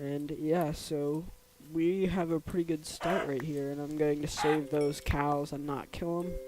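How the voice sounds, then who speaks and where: Someone talks at a fairly slow pace with fairly even intonation over noticeable background noise. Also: man. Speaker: gaming youtuber. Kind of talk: gameplay commentary. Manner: casual, hesitant with fillers.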